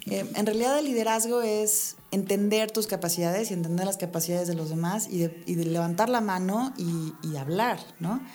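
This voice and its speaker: A woman speaks at a moderate pace in a dark, mellow tone, her medium pitch moving with ordinary variation while room echo is audible. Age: 30s. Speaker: architect and entrepreneur. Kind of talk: casual interview.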